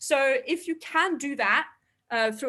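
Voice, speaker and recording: A woman speaks with a non-native accent at a moderate pace. The background is quiet. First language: not English. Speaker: astrophysicist. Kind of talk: public science talk. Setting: online live stream. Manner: hesitant, many fillers.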